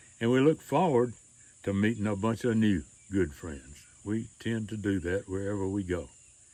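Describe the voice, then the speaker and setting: A man with a Mississippi accent, fairly low in pitch, dark and mellow in tone, with ordinary pitch variation at a moderate pace. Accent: Southern US (Mississippi). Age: 80s+. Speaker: retired storyteller and author. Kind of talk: casual personal announcement to camera.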